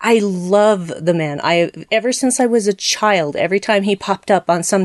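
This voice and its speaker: A woman speaks at a fairly high pitch. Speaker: podcast guest. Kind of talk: casual podcast discussion.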